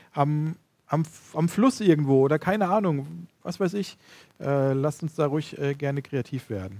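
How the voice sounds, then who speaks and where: Fairly high in pitch, this man's voice carries a dark, mellow tone. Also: lively intonation, moderate pace. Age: 30s. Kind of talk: casual chat.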